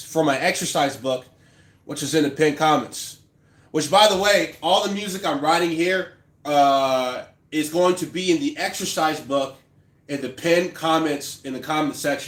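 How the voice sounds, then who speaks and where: At a moderate pace, a man uses a plain, everyday voice, fairly high in pitch, with ordinary pitch variation. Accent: American. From Texas. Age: 30s. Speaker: classical bassist and composer. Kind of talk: live stream chat while composing. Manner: casual.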